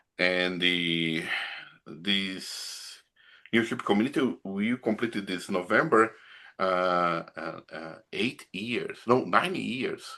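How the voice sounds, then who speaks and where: A man's fairly low, bright, sharp voice in a Brazilian accent, very slow pace, ordinary pitch variation, quiet background. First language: Portuguese. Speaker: pastor. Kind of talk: casual chat. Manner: halting.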